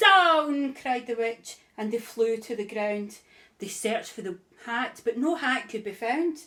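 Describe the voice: Lively intonation marks this plain reading aloud.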